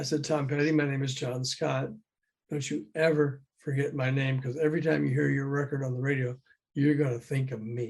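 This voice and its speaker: Fairly quick and somewhat breathy, a man speaks with an American accent at a fairly high pitch. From US South. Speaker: music industry executive. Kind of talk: interview. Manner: animated.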